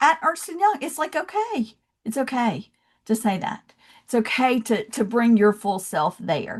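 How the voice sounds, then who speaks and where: Speaking at a fairly slow pace with a Southern accent, a woman lets her pitch swing very widely. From US South, Georgia. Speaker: love and leadership coach, founder. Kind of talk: podcast interview.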